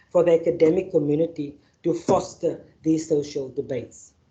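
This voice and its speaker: A moderate pace in a South African accent. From Northern Cape, South Africa. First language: Afrikaans. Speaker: activist and panel facilitator. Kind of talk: keynote address and panel introduction. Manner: halting, with fillers and repetitions.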